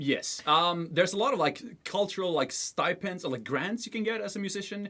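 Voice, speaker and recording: A man's raised, projected voice, high in pitch, with ordinary pitch variation and a fairly quick pace. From Sweden, Stockholm. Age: 30s. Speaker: musician. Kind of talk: casual chat.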